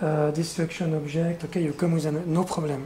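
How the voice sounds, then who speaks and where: Someone with a French accent speaks over noticeable background noise. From France. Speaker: conceptual artist. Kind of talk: q&a discussion. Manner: halting.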